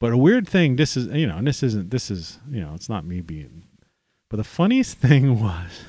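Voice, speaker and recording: On a very clean recording with a silent background, a man in an American accent makes very wide pitch swings in a dark, mellow tone. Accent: American accent, noted by an Australian. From United States. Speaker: livestream host, storyteller. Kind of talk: casual live monologue. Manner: halting, many false starts and fillers.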